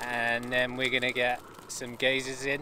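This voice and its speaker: A man at a moderate pace, a dry sound with no echo, and noticeable background noise. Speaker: site owner vlogger. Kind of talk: casual vlog chat. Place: open country. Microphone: phone near.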